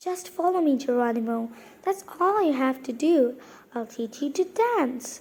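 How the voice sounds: A woman puts on a soft-spoken, squeaky character voice, high in pitch, at a moderate pace.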